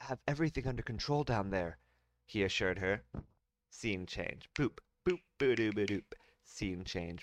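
The clip has a natural reading voice with lively intonation. The background is quiet.

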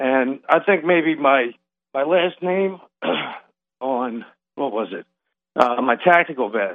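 With an American accent and a fairly high pitch, a man speaks at a very slow pace with lively intonation and long, frequent pauses. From US East Coast, Delaware. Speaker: caller. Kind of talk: phone-in testimony. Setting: phone call. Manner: halting, many fillers.

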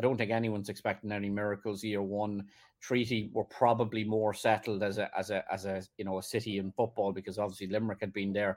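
Very fast speech in an Irish accent, monotone and flat, with hardly any pauses. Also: man, fairly low pitch for a man, very clean recording, silent background. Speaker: football journalist. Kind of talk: casual chat. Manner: halting.

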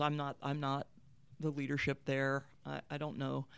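In an American accent, a woman speaks with a very deep, low pitch. The recording is very clean, with a silent background. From Appalachian Ohio (Marietta). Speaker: college athletics director and former Olympic swimmer. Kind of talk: interview. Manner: halting, many repeated starts.

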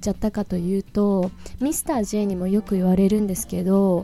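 A woman's medium-pitched voice at a very fast pace, with music in the background. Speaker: English teacher podcaster. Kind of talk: tutorial. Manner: low-energy.

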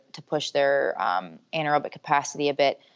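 Talking in an American accent, a woman keeps to a moderate pace. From Michigan. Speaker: strength and conditioning coach. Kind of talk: interview.

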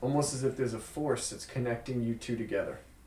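Amid noticeable background noise and audible room echo, a man with medium pitch speaks at a very fast pace. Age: 30s. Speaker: magician and illusionist. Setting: studio. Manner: measured, hushed showman's patter.

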